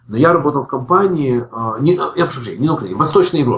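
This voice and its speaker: Noticeable background noise accompanies a man with a fairly high voice speaking at a very fast pace with lively intonation. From Ukraine, Odesa. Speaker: IT department head. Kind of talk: interview. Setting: remote call.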